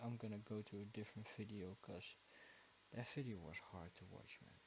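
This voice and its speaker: A man with a Dutch accent speaks at a moderate pace, his pitch fairly low. His voice is somewhat breathy, with ordinary pitch variation. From Netherlands. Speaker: YouTube reaction video creator. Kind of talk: casual chat. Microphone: too quiet at first.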